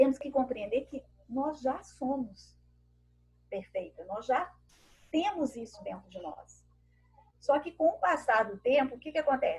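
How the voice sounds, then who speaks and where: A woman speaks at a high pitch and a fairly slow pace, with lively intonation, big swings in loudness, and long, frequent pauses. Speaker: women's group speaker. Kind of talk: talk to a women's group on a video call.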